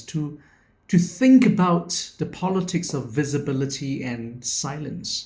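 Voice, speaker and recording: The man's delivery is very slow. Lively intonation runs through his speech. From Singapore. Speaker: educator and education founder. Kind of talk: video presentation, personal reflection talk. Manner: reflective.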